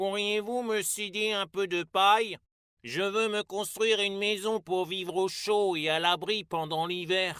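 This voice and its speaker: A man uses a put-on character voice with a high pitch at a moderate pace, in a very clean recording with a silent background. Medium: read story.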